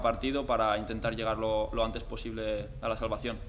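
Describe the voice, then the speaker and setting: A man's voice at a moderate pace over light background noise. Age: 20s. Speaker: footballer. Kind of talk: press conference. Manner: halting, many repeated words and fillers. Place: hall. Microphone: podium.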